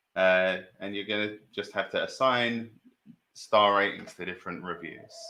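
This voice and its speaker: This man has a fairly low pitch and a bright, sharp tone with a British accent. His loudness swings a lot while his intonation stays fairly even at a moderate pace. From Britain. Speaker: trivia quiz host. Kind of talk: live stream quiz hosting. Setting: live stream.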